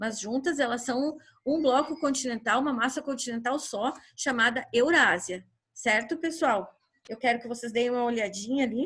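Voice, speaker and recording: A woman with a high pitch keeps to a moderate pace. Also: ordinary pitch variation. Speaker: school teacher. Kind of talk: online class lecture.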